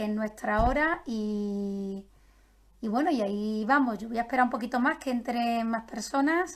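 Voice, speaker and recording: A woman with a normal speaking voice and fairly high pitch talks at a fairly slow pace with ordinary pitch variation, on a very clean recording with a silent background. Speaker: nutritionist. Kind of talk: live-streamed health talk.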